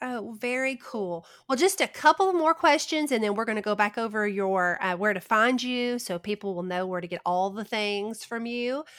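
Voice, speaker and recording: A woman with an American accent talks at a moderate pace in an ordinary speaking voice, with hardly any pauses. Her pitch is fairly high and her intonation lively. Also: very clean recording, silent background. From US South. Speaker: podcast host. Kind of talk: casual interview chat.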